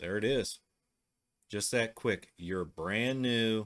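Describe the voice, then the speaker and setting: In a Midwestern US accent, a man with a fairly low pitch speaks at a very slow pace with fairly even intonation over a quiet background. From US Midwest. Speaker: tech tutorial host. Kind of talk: tutorial. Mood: relaxed, casual.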